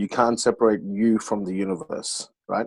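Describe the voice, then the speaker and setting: At a moderate pace and medium pitch, a man with an Australian accent speaks in a dry, close sound with no echo. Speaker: panel co-host. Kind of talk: panel discussion.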